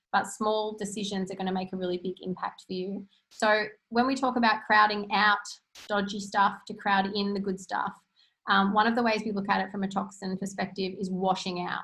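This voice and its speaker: A woman's bright, sharp voice at a medium pitch, monotone and flat in intonation. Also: fairly quick pace. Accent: Australian. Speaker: natural health practitioner. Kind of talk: webinar presentation. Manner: fast.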